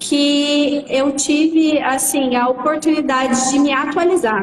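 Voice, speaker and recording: Against noticeable background noise, a woman speaks in a high pitch with fairly even intonation. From Franca, interior of São Paulo, near Minas Gerais. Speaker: auction lawyer. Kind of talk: live stream interview.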